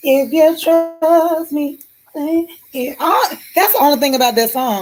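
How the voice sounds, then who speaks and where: Talking at a fairly slow pace, a woman with a high pitch has lively intonation and an animated tone. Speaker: live streamer. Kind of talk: casual chat. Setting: live stream.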